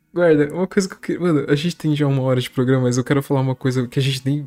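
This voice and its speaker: The man rattles along at a very fast pace in a fairly high voice. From Brazil, São Paulo. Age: 20s. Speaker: podcast host. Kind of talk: casual chat. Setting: remote recording. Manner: animated.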